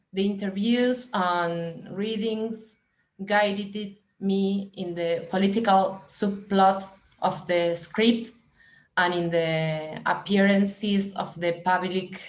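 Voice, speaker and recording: A woman of medium pitch speaks with a Spanish accent at a very slow pace. Audible room echo surrounds her voice. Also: fairly even intonation. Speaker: film director. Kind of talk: reading aloud. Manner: halting.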